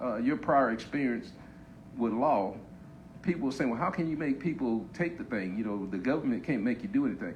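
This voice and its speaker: A man at a medium pitch with lively intonation, talking at a fairly quick pace amid audible room echo. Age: 60s. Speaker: COVID survivor giving testimony. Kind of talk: panel discussion. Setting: Facebook live panel on stage. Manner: halting.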